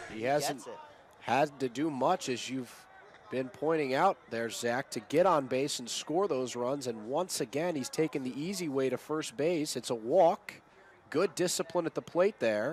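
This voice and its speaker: A man with a fairly high pitch, an ordinary speaking voice, ordinary pitch variation and a fairly slow pace. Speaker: sports broadcaster, play-by-play announcer. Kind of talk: baseball play-by-play.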